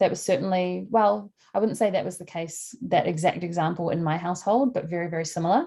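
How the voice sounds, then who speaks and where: A woman talks at a fairly quick pace in a dark, mellow tone, her fairly low pitch showing ordinary variation. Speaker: life coach. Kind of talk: online workshop talk. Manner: fast.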